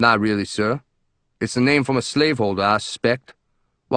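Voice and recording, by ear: Reading aloud in a natural voice, with ordinary pitch variation and a quiet background.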